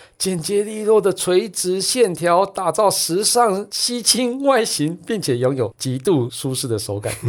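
An animated man's voice with very wide pitch swings on a very clean recording with a silent background. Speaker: tech podcast host. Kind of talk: casual chat; sponsored product review.

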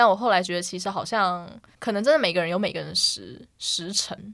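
A woman at a medium pitch speaks with vocal fry and a bright, sharp tone on a very clean recording with a silent background. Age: 30s. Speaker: podcast co-host. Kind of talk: casual chat.

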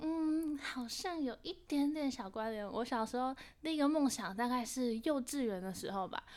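A woman with a Taiwanese accent, high-pitched and lively in intonation, at a moderate pace. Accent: Taiwanese Mandarin. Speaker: university student and actress. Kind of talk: interview.

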